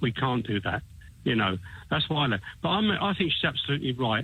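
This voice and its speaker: This is a man speaking at a medium pitch. He has an English accent. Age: 60s. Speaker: caller. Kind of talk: phone-in radio call. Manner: halting, many repetitions.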